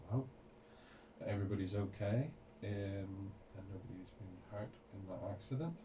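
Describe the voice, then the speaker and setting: Over noticeable background noise and audible room echo, a man talks at a fairly low pitch with ordinary pitch variation. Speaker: radio host. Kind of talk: radio interview. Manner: halting, many fillers.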